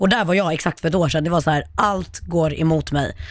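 The recording is very clean and the background silent. A woman delivers her words fairly quickly. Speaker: social media influencer. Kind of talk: casual chat. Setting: studio.

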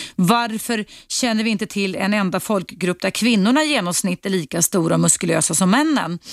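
A woman at a medium pitch with lively intonation and vocal fry, moderate pace, in a dry, close sound with no echo. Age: 50s. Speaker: radio host. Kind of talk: call-in talk show. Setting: studio.

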